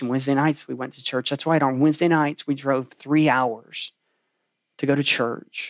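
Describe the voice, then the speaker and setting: Over a silent background in a very clean recording, a man with an unremarkable speaking voice talks at a fairly high pitch with fairly even intonation. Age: 40s. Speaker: pastor. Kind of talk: sermon. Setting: room preaching to a camera, livestream.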